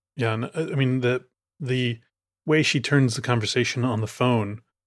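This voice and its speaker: A man with an American accent has a plain, everyday voice at medium pitch, with ordinary pitch variation. He talks at a fairly quick pace in a very clean recording with a silent background. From Chicago, US Midwest. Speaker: film podcaster. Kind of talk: casual chat.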